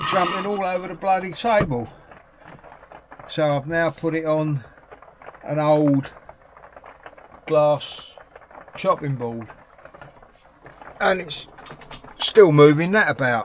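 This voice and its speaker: With an English accent and a fairly high pitch, a man speaks at a very slow pace with long, frequent pauses and ordinary pitch variation over noticeable background noise. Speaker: hobby painter YouTuber. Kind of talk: casual unboxing vlog. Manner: quiet at times.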